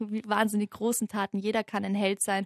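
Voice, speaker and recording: A woman talks at a medium pitch with monotone, flat intonation. The sound is dry and close with no echo, and the background is quiet. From Austria, Vienna. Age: 20s. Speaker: youth musical company founder. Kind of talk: interview.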